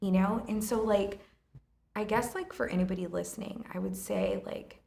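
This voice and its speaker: At a moderate pace, a woman speaks with audible room echo around her. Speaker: restaurant owner. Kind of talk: casual chat. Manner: loud; animated.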